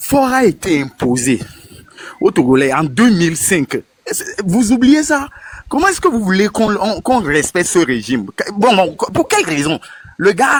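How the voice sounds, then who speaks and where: At a fairly slow pace, a man speaks in a high voice with very wide pitch swings and big swings in loudness. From Togo. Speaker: participant in political online discussion. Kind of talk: casual political discussion. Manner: halting, searching for words.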